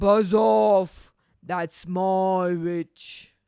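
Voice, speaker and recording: A man puts on a shrill, high-pitched character voice. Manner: gruff, defiant.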